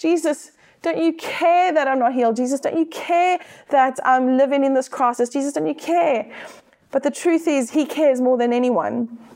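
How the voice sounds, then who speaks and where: Here a woman speaks in a high voice with a South African accent. Her pace is moderate. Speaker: church staff member, preacher. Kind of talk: sermon.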